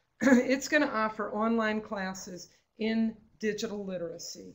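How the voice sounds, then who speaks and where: A woman with an unremarkable speaking voice, fairly even intonation and a fairly slow pace. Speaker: state librarian presenting a webinar. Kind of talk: webinar presentation with slides.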